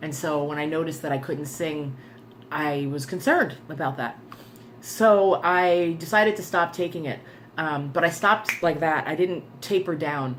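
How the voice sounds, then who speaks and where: A woman with a very deep, low pitch at a moderate pace, heard with audible room echo. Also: ordinary pitch variation. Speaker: vlogger. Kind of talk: personal video diary. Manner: hesitant, many fillers.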